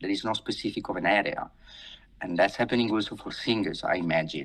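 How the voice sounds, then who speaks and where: A man talks at a very fast pace with an Italian accent. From Italy. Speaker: vocal coach. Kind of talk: podcast interview.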